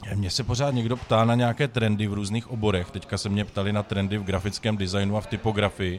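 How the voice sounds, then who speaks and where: At a very fast pace with hardly any pauses, a man speaks at a fairly low pitch with fairly even intonation. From Czech Republic, Moravia. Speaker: cooking show winner, graphic designer. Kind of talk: casual chat.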